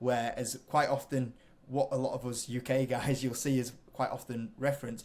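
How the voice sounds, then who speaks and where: A medium-pitched man with a British accent, flat and monotone, at a fairly quick pace. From UK. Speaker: investing YouTuber. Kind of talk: interview.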